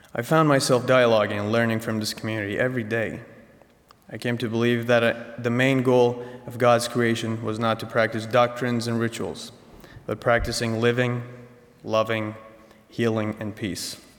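Over noticeable background noise, a man at medium pitch speaks at a moderate pace in a flat, monotone delivery. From Iran, Tehran. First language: Persian. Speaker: college senior. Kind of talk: speech. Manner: formal.

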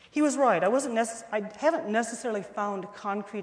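A woman with a Midwestern American accent uses lively intonation, with audible room echo and noticeable background noise. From northwest Ohio. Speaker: art professor. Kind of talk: testimony. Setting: chapel service with audience.

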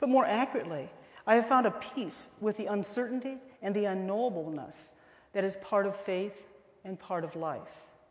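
In a Midwestern American accent, a woman talks at a moderate pace and medium pitch. Her intonation is lively, and the room gives an audible echo. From northwest Ohio. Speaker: art professor. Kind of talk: testimony. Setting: chapel service with audience.

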